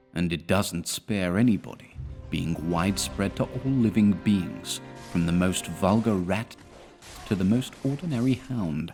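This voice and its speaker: Over music in the background, a man with a fairly low pitch talks at a fairly slow pace with lively intonation. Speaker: narrator. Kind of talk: video game lore narration.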